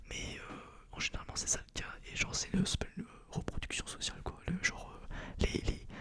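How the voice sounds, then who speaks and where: A man whispers at a moderate pace, with long, frequent pauses and big swings in loudness. Noticeable background noise is present. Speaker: engineering school student and ASMR creator. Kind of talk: casual rambling monologue to camera. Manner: whispered, soft-spoken.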